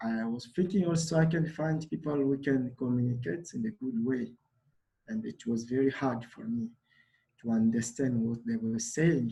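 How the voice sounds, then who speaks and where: A man with a Congolese accent talks at a moderate pace and medium pitch, his dark, mellow tone somewhat breathy, with ordinary pitch variation. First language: Lingala. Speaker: refugee volunteer. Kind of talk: personal testimony at a summit. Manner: halting, many fillers.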